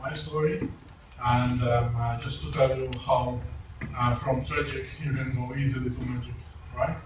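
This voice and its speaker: At a moderate pace, a man with a non-native accent speaks amid audible room echo and noticeable background noise. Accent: foreign accent, non-native English. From Malta. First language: not English (English is third language). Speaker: network marketing presenter. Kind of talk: testimony. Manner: halting.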